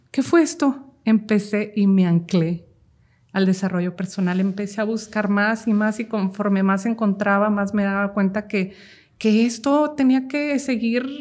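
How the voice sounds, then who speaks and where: A woman speaks fairly slowly at a fairly high pitch, her tone dark and mellow. Her intonation is lively and her voice somewhat breathy. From Mexico, Jalisco (Cocula). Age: 30s. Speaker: mental health content creator. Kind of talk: personal testimony interview.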